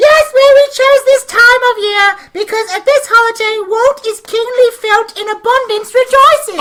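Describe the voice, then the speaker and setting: Putting on a squeaky character voice, a woman talks in an extremely high pitch at a moderate pace with hardly any pauses. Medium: stage play. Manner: halting, stumbling.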